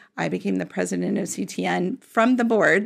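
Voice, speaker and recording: In an American accent, a woman is speaking. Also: very clean recording, silent background. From Florida. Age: 50s. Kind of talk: casual interview. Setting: studio.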